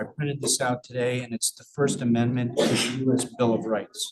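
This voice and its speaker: At a moderate pace, a man speaks at a medium pitch. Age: 60s. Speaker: public commenter at school board meeting. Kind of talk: public comment. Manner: halting.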